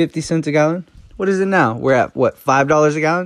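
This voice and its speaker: A man speaks with a normal speaking voice, fairly high in pitch and with lively intonation. The sound is dry and close, with no echo. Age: 20s. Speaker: barber and personal finance podcaster. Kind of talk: casual solo monologue. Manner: conversational, filler-heavy.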